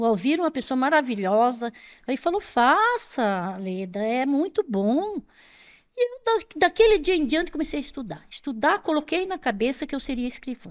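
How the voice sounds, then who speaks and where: On a very clean recording with a silent background, a woman with a high pitch speaks at a moderate pace with very wide pitch swings. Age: 60s. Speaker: retired police clerk and former teacher. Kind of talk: interview storytelling. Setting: studio.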